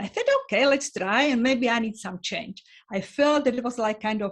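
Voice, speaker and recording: A woman speaks with a Slovak accent, her voice somewhat breathy. Her pitch varies in an ordinary way against a quiet background. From Slovakia. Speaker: sociologist. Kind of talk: interview. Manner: halting.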